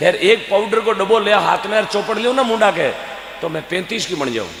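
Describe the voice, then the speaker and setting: An animated man with a Rajasthani accent talks at a moderate pace, using a high pitch and ordinary pitch variation. Audible room echo and noticeable background noise are present. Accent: Rajasthani (Marwari) Hindi. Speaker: folk comedian and devotional speaker. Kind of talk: stage comedy storytelling with devotional appeal.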